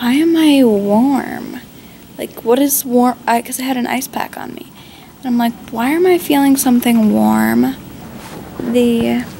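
Delivered at a fairly slow pace, the speech swings widely in loudness over light background noise. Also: woman. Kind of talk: casual vlog chat. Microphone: phone near.

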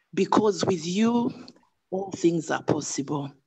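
A woman speaks at a fairly slow pace with lively intonation. The background is quiet. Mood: solemn, earnest. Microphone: video call.

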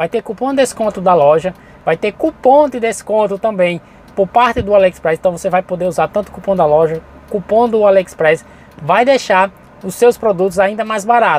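Recorded dry with no echo, a man with a high pitch talks at a fairly quick pace. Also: ordinary pitch variation. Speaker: channel host and import reseller. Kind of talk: sales pitch, urgent promo patter pushing launch deals and coupons. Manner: informal, improvised, chatty, with frequent 'gente' and 'galera'. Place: car.

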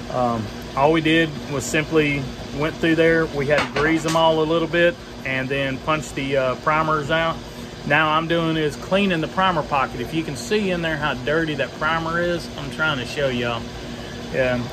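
A man speaking at a moderate pace over noticeable background noise. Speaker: homestead vlogger. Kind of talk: casual vlog chat. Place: garage. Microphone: phone near.

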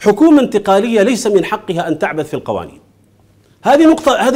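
Lively in intonation and fairly quick, a man speaks at a high pitch against a quiet background. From Sudan. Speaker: Islamic scholar and political movement leader; guest. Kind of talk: TV studio interview. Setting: TV studio. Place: studio. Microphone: lapel.

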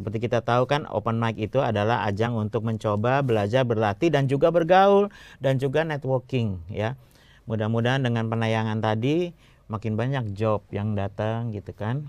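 A man's ordinary speaking voice at a medium pitch and moderate pace, over a quiet background. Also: ordinary pitch variation. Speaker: stand-up comedy host and commentator. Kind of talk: show hosting, intro and feedback. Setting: studio with audience. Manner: formal, measured, explanatory.

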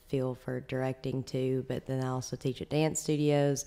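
A woman speaks at a very deep, low pitch. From Alabama (Florence); Alabama. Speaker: professional dancer and choreographer; podcast guest. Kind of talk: casual interview. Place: home room. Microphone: studio mic.

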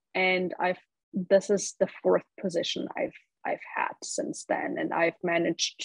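A woman speaks with a German accent. The sound is dry with no echo, and the background is quiet. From Germany, Munich; Germany. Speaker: marketing professional and podcast host; interview guest. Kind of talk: interview. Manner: filler-heavy, repeats words. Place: home room. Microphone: video call.

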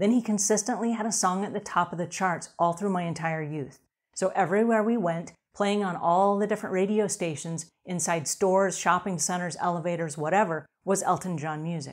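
At a fairly quick pace, a woman speaks with ordinary pitch variation over a quiet background. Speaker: cleaning show host. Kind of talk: show presenter talk. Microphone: lapel.

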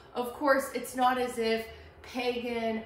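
A woman talks at a very slow pace. Room echo is audible, and there is light background noise. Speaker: art history instructor. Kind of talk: lecture. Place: classroom. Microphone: camera far.

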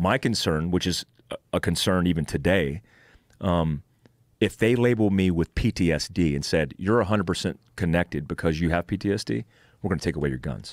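A man talks at a moderate pace with vocal fry and a very deep, low pitch. The sound is dry with no echo, and the background is quiet. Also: ordinary pitch variation. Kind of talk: interview answer. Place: studio. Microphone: studio mic.

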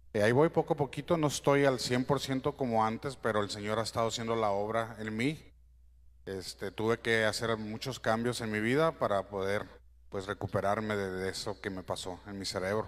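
A man speaks at a moderate pace. His pitch is medium. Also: ordinary pitch variation. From Mexico, Sinaloa (Guamúchil); Sinaloa. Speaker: church musician. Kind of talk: church greeting. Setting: church. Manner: halting. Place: church.

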